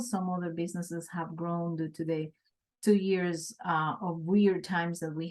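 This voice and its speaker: Fairly slow in pace, this voice has a Colombian accent. Its intonation stays fairly even. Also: woman. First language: Spanish. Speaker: small business owner, city manager. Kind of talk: interview.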